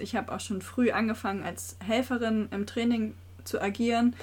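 Fairly even in intonation, a woman's fairly high voice comes across somewhat breathy. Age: 20s. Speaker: trainee primary school teacher and youth board member of a sports club. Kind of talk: podcast interview. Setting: small room above the club office.

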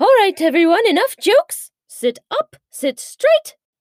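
Very wide pitch swings mark a woman's extremely high voice at a fairly slow pace. The sound is dry and close, with no echo. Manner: brisk, commanding.

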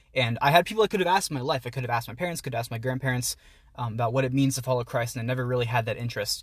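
A man with an American accent speaks at a medium pitch in a somewhat breathy voice on a very clean recording with a silent background. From Pittsburgh area, US. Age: 20s. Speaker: university student and writer. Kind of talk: casual chat. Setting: outdoors.

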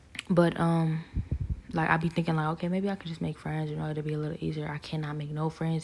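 Very fast, somewhat breathy delivery in a flat, monotone intonation. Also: woman. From Ohio. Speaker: solo podcaster. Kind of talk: personal monologue. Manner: rambling, unscripted.

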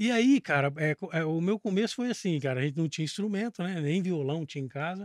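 Using an unremarkable speaking voice, a man talks at a fairly quick pace with fairly high pitch and lively intonation, the sound dry and close with no echo. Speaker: bass player and music teacher. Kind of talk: casual podcast interview.

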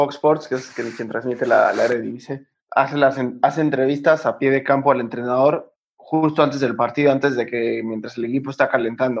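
A man's fairly high voice at a fairly quick pace with fairly even intonation. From Mexico, Cuernavaca. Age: 20s. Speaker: professional footballer. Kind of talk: interview. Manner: halting, many repetitions.

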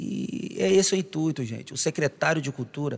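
This man has an unremarkable speaking voice with a fairly high pitch. His intonation is lively and his pace moderate. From Brazil, Itaperuna (Rio de Janeiro state). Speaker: podcast host and singer. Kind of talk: casual chat.

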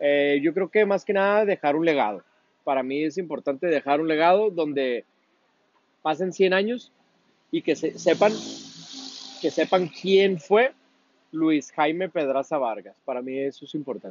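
A man speaks at a fairly slow pace in an ordinary speaking voice. His fairly high pitch carries lively intonation. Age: 30s. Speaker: interviewee. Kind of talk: casual interview.

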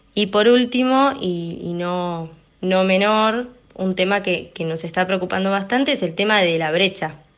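This woman talks at a fairly slow pace. Her pitch variation is ordinary. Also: medium pitch for a woman. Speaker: primary school teacher. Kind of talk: testimony. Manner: halting, repeats words.

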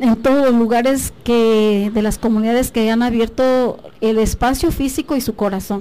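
In a plain, everyday voice, a woman speaks at a fairly high pitch and a fairly slow pace with ordinary pitch variation. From Mexico, Guerrero mountain region (Tlapa de Comonfort). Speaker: biology professor. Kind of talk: radio interview.

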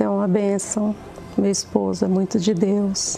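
Noticeable background noise runs behind a woman speaking at a fairly slow pace. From Pernambuco, Brazil. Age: 50s. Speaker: business administrator giving church testimony. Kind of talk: testimony.

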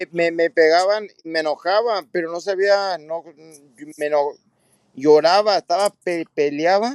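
With long, frequent pauses, a man speaks at a fairly slow pace in a high pitch. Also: ordinary pitch variation, dry, close sound with no echo. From California, Santa Barbara, Mexican family. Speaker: retired professional boxer. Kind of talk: casual chat.

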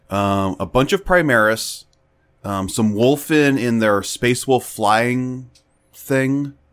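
At a very slow pace, a man talks at a medium pitch with ordinary pitch variation. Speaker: podcast host. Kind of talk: casual chat.

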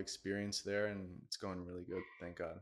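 A man with a fairly low pitch speaks at a moderate pace in a monotone, flat intonation on a very clean recording with a silent background. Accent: American. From Miami, Florida. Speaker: eyewear brand founder. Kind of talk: interview.

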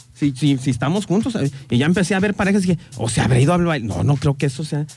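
The voice swings very widely in pitch against noticeable background noise. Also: man. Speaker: radio show co-host. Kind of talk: casual chat. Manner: subdued.

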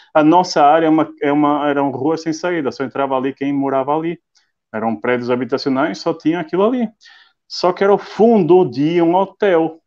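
A man's fairly high voice moves at a fairly quick pace, with ordinary pitch variation. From northern Portugal, Viana do Castelo. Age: 30s. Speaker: IT and logistics professional. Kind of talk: casual interview on a live stream. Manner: halting, repeats words.

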